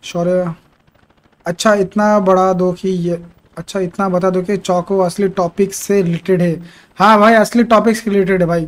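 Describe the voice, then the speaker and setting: A man's high-pitched voice, fairly slow and monotone, with flat intonation. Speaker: game streamer. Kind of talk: casual live stream chat. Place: home room. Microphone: headset.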